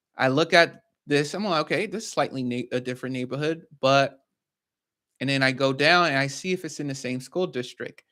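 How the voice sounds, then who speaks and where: A man with a fairly high pitch and a bright, sharp tone, fairly quick, with ordinary pitch variation on a very clean recording with a silent background. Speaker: real estate investor and educator. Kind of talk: tutorial.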